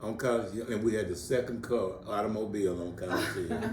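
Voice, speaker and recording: Over noticeable background noise and audible room echo, a man speaks at a moderate pace in an animated tone. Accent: American. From Texas, Greenville. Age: 70s. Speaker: local elder interviewed for museum oral history. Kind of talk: oral history interview. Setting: interview for museum exhibit. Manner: animated, repetitive.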